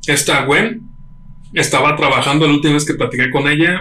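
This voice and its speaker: A man with a Mexican accent, fairly high in pitch and fairly quick in pace, with audible room echo. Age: 30s. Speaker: podcast co-host. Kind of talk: casual chat. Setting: home studio.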